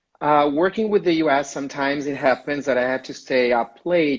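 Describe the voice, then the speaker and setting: A man with an Italian accent, moderate pace and ordinary pitch variation. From Italy (Rome). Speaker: community manager. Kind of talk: interview. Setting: Instagram live video call.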